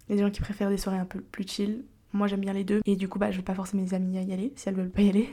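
A woman talks very fast in a dark, mellow, somewhat breathy voice. Her intonation is monotone and flat. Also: medium pitch for a woman. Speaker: podcast host. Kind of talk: casual solo monologue. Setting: home recording. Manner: speaking more quietly than usual.

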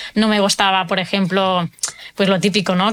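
This woman has an ordinary speaking voice at medium pitch. She talks at a fairly quick pace. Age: 30s. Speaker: nutrition coach for people with autoimmune disease. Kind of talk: interview testimony.

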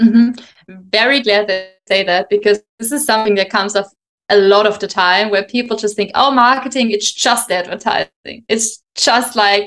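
A woman's fairly high voice at a moderate pace, with a German accent. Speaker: podcast host and marketing consultant. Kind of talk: interview.

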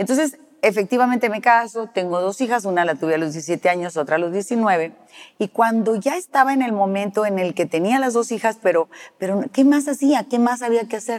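A woman's ordinary speaking voice, fairly high in pitch, with lively intonation and a moderate pace. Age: 60s. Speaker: celebrity hair stylist. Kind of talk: interview conversation.

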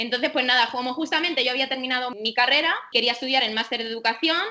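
She speaks very fast. Hers is a woman's voice. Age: 30s. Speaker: dog and cat owner, former marketing worker. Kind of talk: casual interview.

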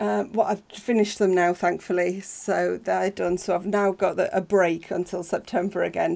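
A woman's medium-pitched voice with vocal fry. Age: 40s. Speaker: university student and streamer. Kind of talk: casual interview chat. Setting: video call from a blanket fort.

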